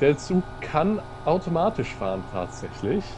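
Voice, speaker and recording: Noticeable noise sits in the background. Over it, a man talks with lively intonation. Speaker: let's-play gamer driving the train. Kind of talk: casual gaming commentary.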